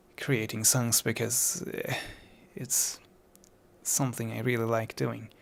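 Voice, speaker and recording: At a very slow pace, a man with a non-native accent speaks at medium pitch with vocal fry, in a very clean recording with a silent background. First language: not English. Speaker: musician talking about own songs. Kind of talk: casual podcast monologue. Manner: halting, many fillers.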